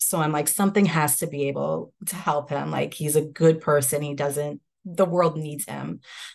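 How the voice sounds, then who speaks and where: A woman with an American accent speaks with a very deep, low pitch and vocal fry. Her pace is moderate with hardly any pauses, her intonation fairly even, and her loudness swings widely. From upstate New York, Hudson Valley. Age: 30s. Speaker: law student, widow. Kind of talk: personal testimony in interview.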